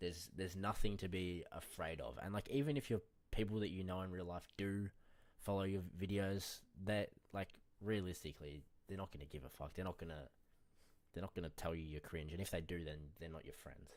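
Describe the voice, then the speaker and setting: A man with a very deep, low voice speaks at a fairly quick pace with ordinary pitch variation. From Australia. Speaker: day trader streaming live trades. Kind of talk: casual live stream chat while trading. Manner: casual, slangy, not especially clear.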